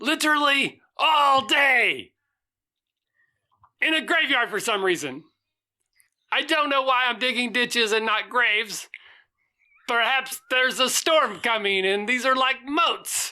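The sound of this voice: A woman's squeaky, put-on character voice, high in pitch with ordinary variation, at a fairly slow pace with long, frequent pauses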